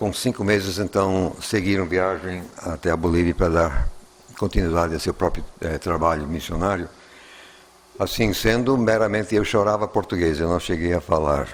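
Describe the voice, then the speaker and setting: Very deep and low in pitch, a man speaks at a fairly slow pace with long, frequent pauses. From Bolivia, then USA from age 11. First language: English (speaking Portuguese). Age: 70s. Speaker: Bible scholar and lecturer. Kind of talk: lecture. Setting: filmed lecture with live audience. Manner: halting, with many fillers.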